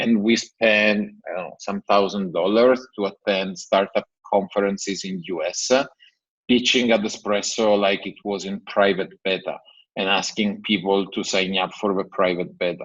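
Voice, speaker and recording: A man's fairly low, monotone, flat voice carries on at a moderate pace. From Italy. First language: Italian. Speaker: tech company CEO. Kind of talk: interview.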